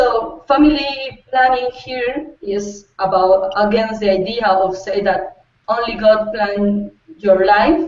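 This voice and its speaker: Woman with a Spanish accent, fairly high in pitch with ordinary pitch variation. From Costa Rica. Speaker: youth advocate, political science student. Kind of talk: panel discussion. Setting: video call. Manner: halting.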